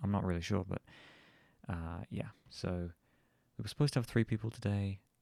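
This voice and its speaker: A man with a southern English accent speaks at a fairly quick pace in a very deep, low voice with a dark, mellow tone and ordinary pitch variation, on a very clean recording with a silent background. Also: dry, close sound with no echo. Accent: southern English, a bit posh. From southern England. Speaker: vlogger. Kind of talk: casual chat. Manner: casual, hesitant with fillers.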